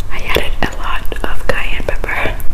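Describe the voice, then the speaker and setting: Soft-spoken and whispering, a woman speaks. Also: fairly slow pace. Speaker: food vlogger. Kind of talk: casual eating vlog chat. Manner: soft ASMR whisper close to mic. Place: home room. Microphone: phone near.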